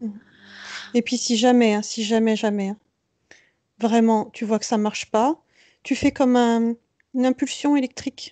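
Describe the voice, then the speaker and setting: Against a quiet background, with a dry, close sound and no echo, a woman with a fairly high pitch and a dark, mellow tone speaks in a monotone, flat intonation, leaving long, frequent pauses. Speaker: client under hypnosis, speaking as an entity. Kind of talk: hypnosis session trance speech. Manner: slow, deadpan, irritable at times.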